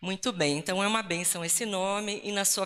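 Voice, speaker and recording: A woman's medium-pitched voice with a bright, sharp tone and ordinary pitch variation, on a very clean recording with a silent background. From Rio Grande do Sul, southern Brazil. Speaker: Lutheran pastor. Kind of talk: talk at ecumenical church event. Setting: live event with audience and slides. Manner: casual, joking.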